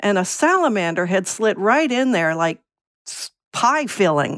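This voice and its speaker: This woman has an ordinary speaking voice. She talks at a moderate pace. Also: very clean recording, silent background. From Virginia. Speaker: essayist, former letter carrier. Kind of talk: casual interview.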